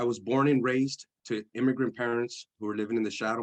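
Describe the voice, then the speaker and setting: Here a man talks at a fairly quick pace and medium pitch. His intonation is monotone and flat. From East San Jose, California. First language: Spanish. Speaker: formerly incarcerated speaker. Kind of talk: testimony. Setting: church service.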